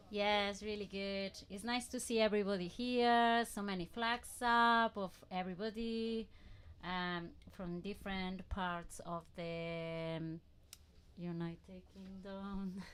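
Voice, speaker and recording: A woman with a Spanish accent at a medium pitch, very slow pace and fairly even intonation. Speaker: production team member. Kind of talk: casual chat. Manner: halting.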